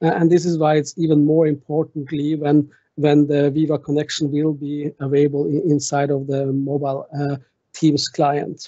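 A man with a Norwegian accent talks at a moderate pace, his pitch fairly high. His intonation stays flat and monotone over a quiet background. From Norway. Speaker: tech conference speaker; conference speaker. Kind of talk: technical presentation with demo. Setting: online video meeting with screen share.

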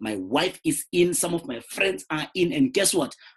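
Very wide pitch swings mark this fairly slow delivery, which carries vocal fry. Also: man. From South Africa, rural Limpopo. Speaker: network marketer. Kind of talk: sales pitch.

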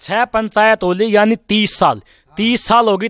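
With no echo, the sound is dry as a man speaks. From Haryana. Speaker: local video reporter. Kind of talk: field interview. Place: street. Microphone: handheld.

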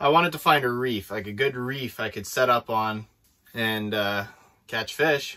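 Over a quiet background, a man speaks at a very slow pace. His pitch shows ordinary variation. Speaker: ice fishing vlogger. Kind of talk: casual vlog chat. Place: tent. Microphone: camera far.

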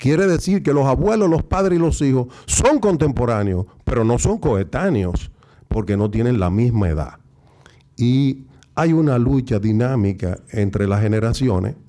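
A dark, mellow tone with very wide pitch swings, very even loudness and a fairly slow pace. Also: man, medium pitch for a man. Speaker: intellectual and TV commentator. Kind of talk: speech. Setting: stage with audience.

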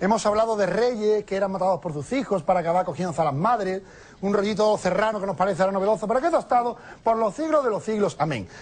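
In an Andalusian accent, a man speaks at a very fast pace in a high voice. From Andalusia, Spain. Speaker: comedian. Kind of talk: stand-up comedy monologue. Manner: casual, lively. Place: studio.

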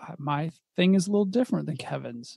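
A man talks fairly quickly in a plain, everyday voice, and his pitch varies in an ordinary way. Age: 40s. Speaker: podcast co-host. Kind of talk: casual chat.

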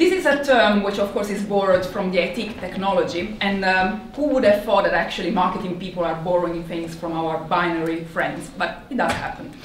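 Talking at a fairly quick pace with hardly any pauses, a woman uses ordinary pitch variation in a room with audible echo and light background noise. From Italy. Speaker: marketing executive. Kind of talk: conference talk. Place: hall.

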